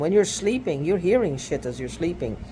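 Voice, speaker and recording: The pitch swings very widely. Noticeable background noise runs underneath. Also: man. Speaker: video blogger. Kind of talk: personal video monologue. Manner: halting.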